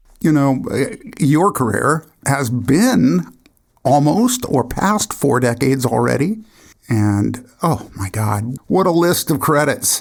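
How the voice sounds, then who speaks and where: A man talks at a very slow pace with a fairly high pitch. His pitch swings very widely. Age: 60s. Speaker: podcast host. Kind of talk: interview; scripted intro.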